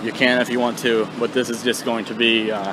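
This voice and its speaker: The speech comes out as mumbling. Noticeable background noise sits behind it. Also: man. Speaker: vlogger. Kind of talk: casual vlog talk. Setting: outdoors on a bike.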